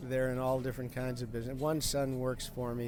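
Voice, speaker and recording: The speaker is a man with an American accent. His words carry a noticeable room echo. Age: 80s+. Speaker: grocery store owner. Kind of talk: casual interview. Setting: inside his grocery market. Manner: halting, repeats words.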